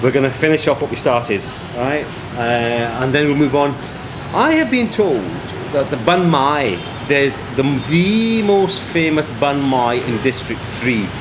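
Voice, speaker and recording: A fairly high-pitched man at a moderate pace, with lively intonation, long and frequent pauses, audible room echo and noticeable background noise. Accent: Scottish. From Scotland. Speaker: travel vlogger. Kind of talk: travel vlog narration. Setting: outdoors, then on a balcony in rain. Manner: chatty and conversational.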